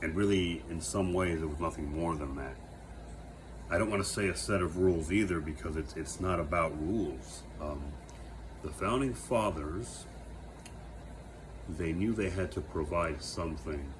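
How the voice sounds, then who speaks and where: With an American accent, a man speaks at a moderate pace in a very deep, low pitch with vocal fry and lively intonation, pausing long and often, in a room with audible echo. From United States. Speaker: vlogger. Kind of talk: reflective monologue. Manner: halting, many fillers and self-corrections.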